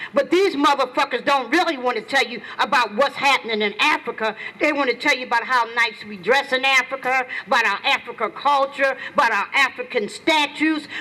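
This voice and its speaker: A woman with a high pitch talks in a raised, projected voice at a fairly quick pace, her pitch varying in an ordinary way over noticeable background noise. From US, Philadelphia (North Philadelphia). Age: 60s. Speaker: community activist. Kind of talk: protest rally speech. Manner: impassioned.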